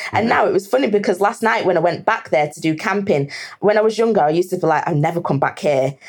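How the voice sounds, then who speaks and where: Delivered very fast, the speech shows ordinary pitch variation. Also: woman. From northern England, Lancashire near Manchester. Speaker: hiking group founder. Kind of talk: casual interview chat.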